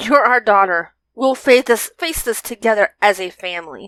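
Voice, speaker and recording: A woman performs a put-on character voice with a raspy edge. She keeps a moderate pace. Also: fairly high pitch for a woman. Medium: read story.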